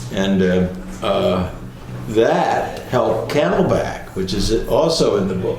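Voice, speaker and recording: Noticeable background noise sits behind this recording. A man speaks with an American accent at a fairly low pitch. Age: 80s+. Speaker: retired attorney and civic leader. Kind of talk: oral history interview answer. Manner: hesitant, conversational.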